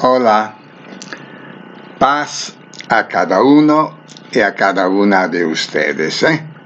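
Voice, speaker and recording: Very wide pitch swings mark a man's speech over noticeable background noise. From northern Italy, near Venice. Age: 70s. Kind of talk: religious reflection. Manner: halting.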